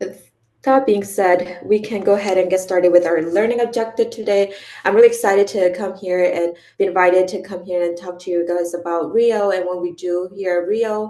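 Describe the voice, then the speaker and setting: The pace is fairly quick. The voice carries a non-native accent. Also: woman, medium pitch for a woman, fairly even intonation. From came to the US at age ten from abroad. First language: not English. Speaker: nonprofit director and community advocate. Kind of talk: conference presentation. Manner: frequent fillers (um, uh).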